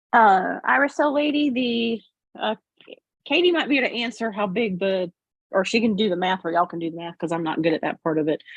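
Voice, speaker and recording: Talking at a fairly quick pace, a woman uses a Southern US accent. Her medium-pitched voice makes very wide pitch swings. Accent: country Southern US. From Florida, US South. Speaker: quilting youtuber, guest. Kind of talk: casual livestream chat.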